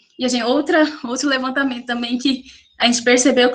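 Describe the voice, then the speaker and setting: The speaker is a woman with a high-pitched voice. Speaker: graduate student presenting research. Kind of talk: academic research presentation. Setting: video call.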